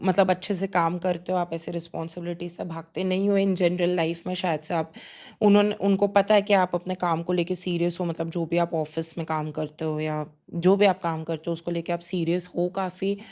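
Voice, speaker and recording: Speaking at a moderate pace, a woman uses a fairly low pitch. Her intonation is monotone and flat. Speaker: tarot reader. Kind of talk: pick-a-card tarot reading. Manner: conversational, hesitant with fillers.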